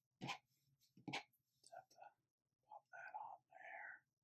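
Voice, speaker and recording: Whispering and soft-spoken, a man can be heard over noticeable background noise. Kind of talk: casual build commentary. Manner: soft ASMR whisper.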